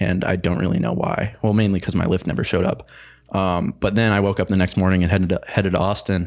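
Talking very fast at a very deep, low pitch, a man uses vocal fry, ordinary pitch variation and very even loudness. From central Illinois, US Midwest. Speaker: college student. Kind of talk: casual chat.

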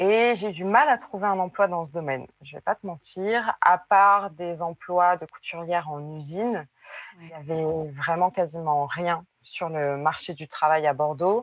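A woman's ordinary speaking voice, fairly low in pitch with ordinary pitch variation, in a dry, close sound with no echo. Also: fairly slow pace, big swings in loudness. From southwestern France, Périgueux. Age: 20s. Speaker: former nurse turned seamstress. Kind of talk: interview testimony.

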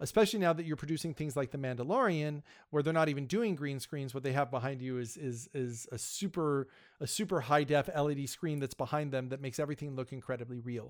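A man's very fast delivery at a fairly high pitch, on a very clean recording with a silent background. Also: ordinary pitch variation. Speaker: podcast host, guest. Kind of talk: casual chat.

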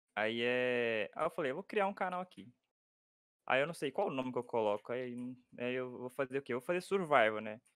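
Dry and close with no echo, a man with an unremarkable speaking voice talks at a fairly quick pace, his medium pitch carried by lively intonation. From Minas Gerais, Brazil. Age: 20s. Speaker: YouTuber. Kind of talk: casual chat while gaming.

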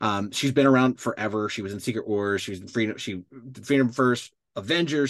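A man's normal speaking voice, medium in pitch, with ordinary pitch variation. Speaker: co-host. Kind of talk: casual chat. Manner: casual, filler-heavy.

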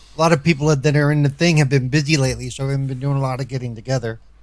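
Very fast speech from a man, pitched fairly high. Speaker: co-host. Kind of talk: casual group chat.

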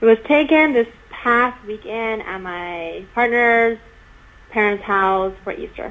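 Ordinary pitch variation in a Chinese accent. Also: woman, fairly high pitch for a woman. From China until age 12, then US. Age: 20s. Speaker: university residential life professional. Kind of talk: interview. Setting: remote call.

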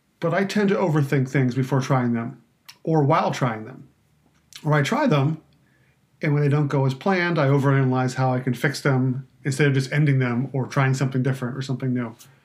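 A man speaks at a fairly quick pace with a somewhat breathy voice. His pitch sits in the medium range, and his intonation stays fairly even. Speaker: wine podcast host and writer. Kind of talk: solo podcast trailer monologue. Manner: halting, filler-heavy, self-deprecating.

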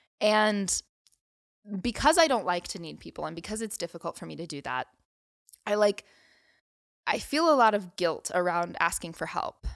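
Using a medium pitch, a woman speaks with very wide pitch swings, vocal fry, and long, frequent pauses, in a dry, close sound with no echo. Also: moderate pace, very clean recording, silent background. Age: 20s. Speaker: podcast co-host. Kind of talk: casual chat.

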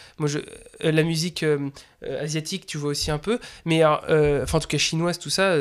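A man with a plain, everyday voice speaks at a moderate pace, his fairly high pitch rising and falling in an ordinary way. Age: 20s. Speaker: drum teacher and podcast host. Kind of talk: casual chat.

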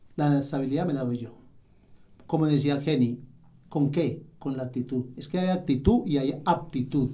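A man's voice, fairly high in pitch, has a dark, mellow tone and a somewhat breathy quality, moving at a moderate pace with ordinary pitch variation. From Colombia, Manizales. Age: 60s. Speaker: technical support agent. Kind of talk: podcast interview.

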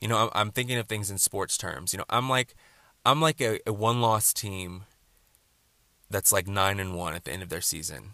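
With an American accent, a man with a fairly low pitch and a bright, sharp tone speaks with long, frequent pauses in a dry, close sound with no echo. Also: ordinary pitch variation, moderate pace, very clean recording, silent background. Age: 20s. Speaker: podcaster. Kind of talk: casual monologue.

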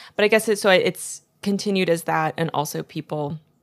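Set against a very clean recording with a silent background, a woman talks in an ordinary speaking voice, fairly low in pitch with ordinary pitch variation. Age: 20s. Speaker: podcast guest. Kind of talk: casual chat.

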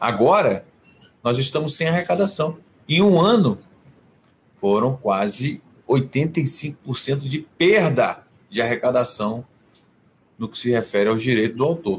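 Somewhat breathy and at a very slow pace, a man speaks at a medium pitch with lively intonation and long, frequent pauses. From Rio de Janeiro, Brazil, then Brasília from age 12. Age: 50s. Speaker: cultural manager, music awards founder. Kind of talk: interview on livestream. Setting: home office, video livestream. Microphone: possible echo from same home.

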